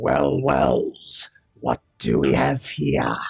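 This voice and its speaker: A man puts on a growling character voice. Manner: sneering.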